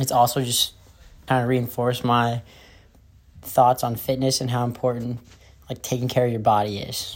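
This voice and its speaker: The delivery is monotone and flat at a moderate pace. Long, frequent pauses break it up. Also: man, medium pitch for a man. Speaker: college student runner. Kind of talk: interview.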